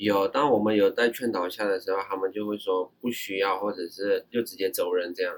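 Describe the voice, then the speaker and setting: A man with an unremarkable speaking voice talks at a fairly quick pace in a fairly low pitch, with fairly even intonation and hardly any pauses. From Myanmar. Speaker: overseas Chinese university student. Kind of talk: casual interview chat.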